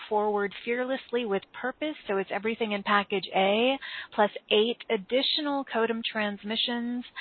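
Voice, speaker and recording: A woman has an unremarkable speaking voice. She talks at a moderate pace with ordinary pitch variation. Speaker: podcast host. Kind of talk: spiritual broadcast intro and interview. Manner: warm, upbeat, flowery.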